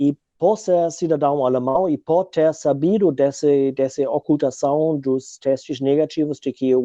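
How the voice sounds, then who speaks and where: Speaking in a German accent, a man uses a dark, mellow tone at a fairly high pitch, with fairly even intonation, a fairly slow pace and a dry, close sound with no echo. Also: quiet background. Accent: foreign (German) accent in Portuguese. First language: German (speaking Portuguese). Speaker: researcher and activist. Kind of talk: interview conversation. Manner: hesitant, many fillers.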